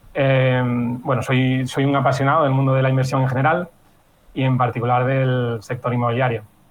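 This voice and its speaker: At a moderate pace, a man talks with medium pitch in an unremarkable speaking voice. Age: 30s. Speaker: real estate consultant and blogger. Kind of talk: podcast interview.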